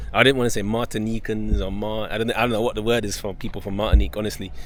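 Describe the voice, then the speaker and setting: Over noticeable background noise and audible room echo, a man with a fairly low pitch talks at a very fast pace in monotone, flat intonation. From Dominica. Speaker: travel vlogger. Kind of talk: travel vlog narration; casual chat. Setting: outdoors.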